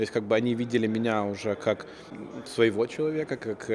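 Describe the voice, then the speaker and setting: Clear background noise accompanies a man talking in a mid-range pitch. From Odesa, Ukraine; moved to the US as a child. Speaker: company founder. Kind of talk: interview. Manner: hesitant, with filler sounds.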